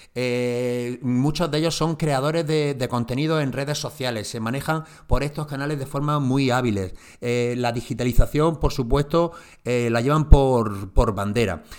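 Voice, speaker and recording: This man's voice sits at a medium pitch with ordinary pitch variation and a moderate pace. The recording is very clean, with a silent background. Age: 40s. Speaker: marketing podcast host. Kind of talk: solo podcast talk on marketing. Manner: hesitant, many fillers and repeats.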